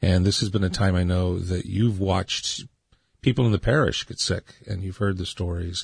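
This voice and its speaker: Against a quiet background, a man speaks in a very deep, low voice. He sounds somewhat breathy and keeps a moderate pace. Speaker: radio host. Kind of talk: radio interview. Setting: studio.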